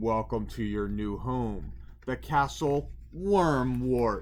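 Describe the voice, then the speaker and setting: This is a gruff, put-on character voice. It moves at a very slow pace. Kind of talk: narrated storybook. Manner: snorting, gruff.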